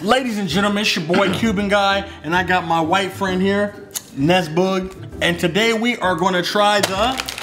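A man speaks with a high pitch. There is light background noise. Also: moderate pace. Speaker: vlogger host. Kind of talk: casual vlog chat. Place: kitchen. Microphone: phone near.

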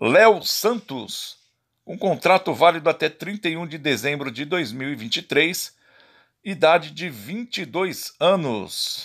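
The speaker talks at a very slow pace with vocal fry, lively intonation and big swings in loudness. The recording is very clean, with a silent background. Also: man, fairly high pitch for a man. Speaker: football YouTuber. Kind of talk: list reading of player contracts.

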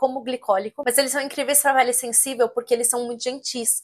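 With a quiet background behind her, a woman speaks in a high pitch with ordinary pitch variation. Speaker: esthetician; skincare content creator. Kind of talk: tutorial.

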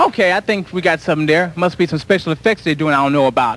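A man's voice comes through dry, with no echo. Crowd noise fills the background. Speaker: local TV dance show host. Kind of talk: live local TV show hosting. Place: studio. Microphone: handheld.

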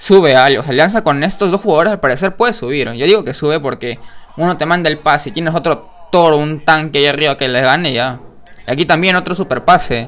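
His pitch varies in an ordinary way. A man speaks very fast. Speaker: reaction video host. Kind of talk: casual commentary. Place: home room.

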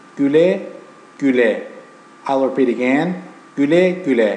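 Noticeable background noise sits behind a man with a fairly high pitch. He speaks at a very slow pace with ordinary pitch variation. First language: Turkish. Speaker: language teacher. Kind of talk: language lesson to camera.

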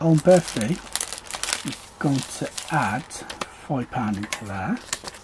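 Noticeable background noise is present. The speaker is a man. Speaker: budgeting vlogger. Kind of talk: tutorial.

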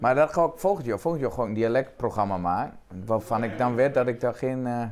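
Light background noise sits behind a man who speaks at a fairly quick pace with lively intonation. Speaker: cabaret performer. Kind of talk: casual conversation at a café table. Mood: relaxed, chatty. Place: cafe. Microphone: lapel.

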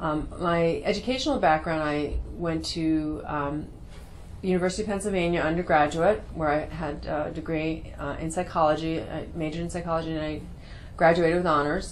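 Speaking at a fairly quick pace with fairly even intonation, a woman with an American accent is heard over light background noise. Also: fairly low pitch for a woman. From New York City. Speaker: cosmetic surgeon and dermatologist. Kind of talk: promotional talk to camera. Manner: hesitant with frequent fillers. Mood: calm, friendly. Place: office.

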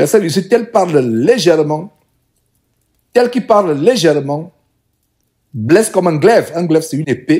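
A man with a high pitch and a dark, mellow tone speaks at a fairly slow pace. His pitch swings very widely, broken by long, frequent pauses. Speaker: preacher. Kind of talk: sermon, Bible study teaching. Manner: earnest, didactic, exhorting; formal, solemn, repeating phrases for emphasis.

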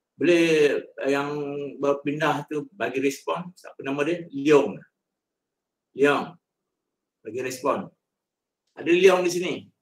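A man's very slow speech with long, frequent pauses, fairly even intonation and big swings in loudness, over light background noise. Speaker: head of records and alumni unit. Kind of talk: briefing. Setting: video call. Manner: halting. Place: office.

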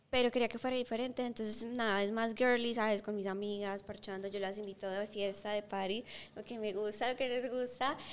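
Fairly quick with hardly any pauses, a woman talks in a fairly high voice with monotone, flat intonation. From Colombia, Bogotá. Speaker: singer; guest. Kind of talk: interview. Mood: warm, cheerful. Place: studio. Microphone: studio mic.

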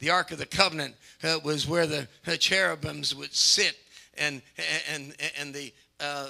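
Over a quiet background, a man with a bright, sharp tone talks at a moderate pace in a monotone, flat intonation. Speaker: preacher. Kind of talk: sermon. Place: church. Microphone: handheld.

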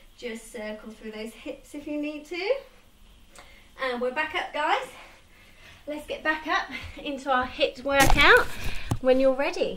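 A woman speaks at a fairly slow pace amid audible room echo. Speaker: fitness instructor. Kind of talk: guided home workout class with cueing and countdowns. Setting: home conservatory with rain noise, video workout. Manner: encouraging, upbeat, steady instructional cueing. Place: home room. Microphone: camera far.

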